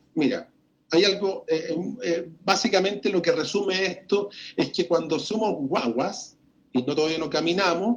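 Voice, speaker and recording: Here a man speaks with a high pitch. He keeps a fairly slow pace. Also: ordinary pitch variation. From Chile. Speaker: journalist and radio broadcaster. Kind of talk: interview answer.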